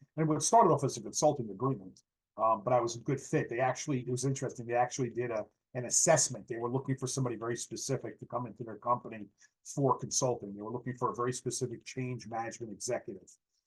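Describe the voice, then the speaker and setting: A somewhat breathy man with an American accent talks at a very fast pace, his medium pitch following fairly even intonation. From Westchester County, New York. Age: 60s. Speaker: landscaping business owner. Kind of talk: podcast interview. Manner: halting, many fillers.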